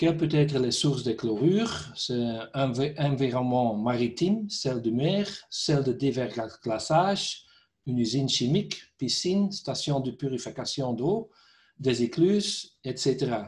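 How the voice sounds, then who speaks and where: Speaking with a Dutch accent, a man uses a medium pitch, a fairly slow pace, a somewhat breathy sound and lively intonation. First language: Dutch (speaking French). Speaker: company director, concrete repair specialist. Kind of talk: technical webinar presentation. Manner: halting, hesitant.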